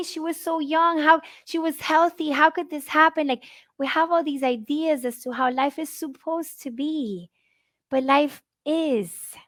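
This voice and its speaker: A woman speaks at a high pitch with a Spanish accent. The recording is very clean, with a silent background. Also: dry, close sound with no echo. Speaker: grief speaker. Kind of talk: conference talk. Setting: live conference.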